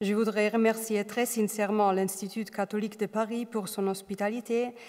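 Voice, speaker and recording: A woman with a non-native accent speaks at medium pitch and a fairly slow pace. Her intonation is flat and monotone. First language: not French (speaking French). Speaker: doctoral researcher, art history. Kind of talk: academic lecture.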